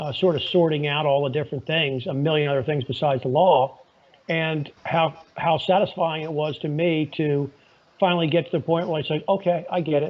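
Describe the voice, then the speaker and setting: At a fairly quick pace, a man speaks in a plain, everyday voice, fairly high in pitch, with fairly even intonation. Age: 60s. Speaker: lawyer and podcaster. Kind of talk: casual interview chat. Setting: phone call. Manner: conversational with frequent fillers.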